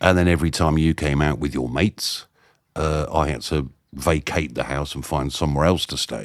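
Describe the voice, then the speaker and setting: A man's very deep, low voice carries vocal fry at a moderate pace with fairly even intonation, on a very clean recording with a silent background. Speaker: podcast host. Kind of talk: interview, casual conversation. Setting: outdoors.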